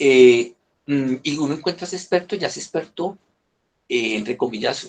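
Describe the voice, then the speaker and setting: A man's fairly high voice with lively intonation. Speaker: business consultant. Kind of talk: online presentation. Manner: hesitant, many repetitions.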